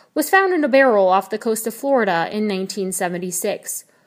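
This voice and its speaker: A woman's fairly high-pitched, dramatic delivery at a fairly quick pace, on a very clean recording with a silent background. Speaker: podcast host. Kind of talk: true-crime narration, scripted storytelling. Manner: measured, dramatic, ominous.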